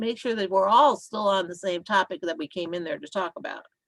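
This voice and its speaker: A woman with a plain, everyday voice and medium pitch talks at a moderate pace, the sound dry and close with no echo. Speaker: nursing instructor. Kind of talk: lecture.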